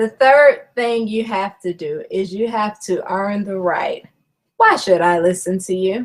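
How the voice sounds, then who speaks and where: A woman's unremarkable speaking voice, medium-pitched, at a fairly slow pace with ordinary pitch variation. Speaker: network marketing trainer. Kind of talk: webinar presentation. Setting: online video broadcast. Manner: conversational with fillers.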